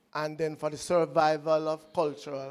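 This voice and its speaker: A man in a Jamaican accent, fairly high-pitched, fairly slow and monotone with flat intonation. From Jamaica, Clarendon. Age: 60s. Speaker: audience member. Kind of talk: audience question at lecture Q&A.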